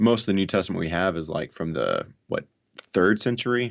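Speaking at a fairly quick pace over a quiet background, a man with a Southern US accent has a very deep, low pitch and ordinary pitch variation. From US South (North Alabama). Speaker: atheist YouTuber. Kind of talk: casual interview discussion.

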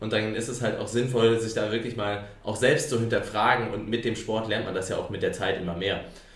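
Amid noticeable background noise and audible room echo, a man at medium pitch speaks fairly quickly in a flat monotone. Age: 20s. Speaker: podcast host and company founder. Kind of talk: casual chat.

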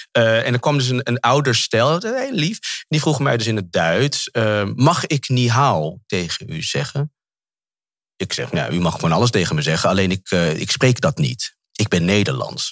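A man's medium-pitched voice with vocal fry, very wide pitch swings and a moderate pace. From Netherlands, Amsterdam. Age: 40s. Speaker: actor. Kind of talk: interview. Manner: halting.

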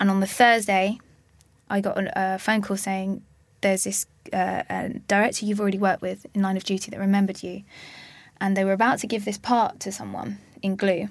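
In an Essex accent, a woman talks at a fairly quick pace and medium pitch, her intonation monotone and flat, with long, frequent pauses. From Essex, Harlow. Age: 20s. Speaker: actress. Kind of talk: casual chat.

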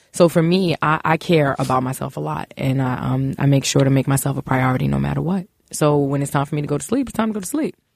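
A woman with a New York accent talks at a very fast pace, with hardly any pauses. Her pitch is very deep and low with ordinary variation, and the sound is dry and close, with no echo. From Brooklyn, New York (East New York). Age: 40s. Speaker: business executive. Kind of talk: casual interview.

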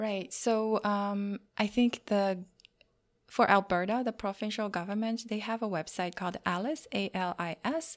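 A Chinese accent with ordinary pitch variation, on a very clean recording with a silent background. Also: woman. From China. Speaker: career coach. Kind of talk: interview. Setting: on location in a university career center. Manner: frequent fillers and hesitations.

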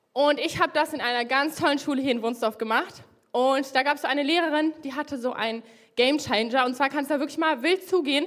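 Very fast talking from a woman with a high voice and ordinary pitch variation. The recording is very clean, with a silent background. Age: 20s. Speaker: young lay preacher. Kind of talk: sermon.

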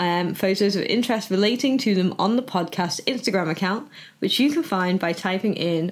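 A woman with an unremarkable speaking voice talks at a moderate pace in a medium pitch, her intonation lively. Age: 30s. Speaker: podcast host and burlesque performer. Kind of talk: casual chat.

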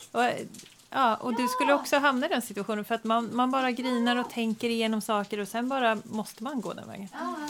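Over noticeable background noise, a woman speaks at a very fast pace with a fairly high pitch. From Skåne, Sweden. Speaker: podcast host. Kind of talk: interview.

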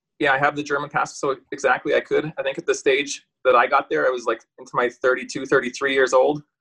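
With a Canadian prairie accent, the speaker talks at a moderate pace in a dry, close recording with no echo. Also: man. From rural Saskatchewan, Canada. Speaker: retired professional hockey player. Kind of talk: casual interview chat.

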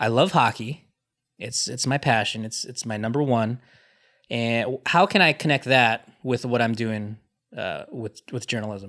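On a very clean recording with a silent background, a man with a Californian accent speaks fairly slowly at a medium pitch with ordinary pitch variation. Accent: Californian American. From US West Coast, Los Angeles. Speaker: team digital manager. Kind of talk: casual chat.

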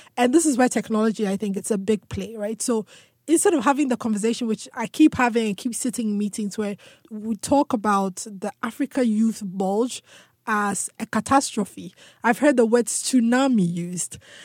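The somewhat breathy voice moves at a moderate pace with ordinary pitch variation, recorded very cleanly against a silent background with a dry, close sound and no echo. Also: woman. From Ghana. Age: young. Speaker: tech entrepreneur. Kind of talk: interview.

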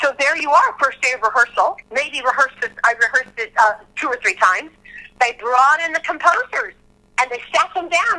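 Raised and projected, a woman's high-pitched voice has a bright, sharp tone and very wide pitch swings. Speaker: Broadway ensemble performer. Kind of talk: casual interview chat.

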